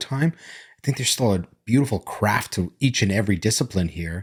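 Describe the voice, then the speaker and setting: Over a silent background in a very clean recording, a man speaks at a moderate pace with fairly low pitch. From immigrant to Canada, childhood abroad. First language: not English. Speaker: business owner, podcast co-host. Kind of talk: casual chat. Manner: halting, with false starts.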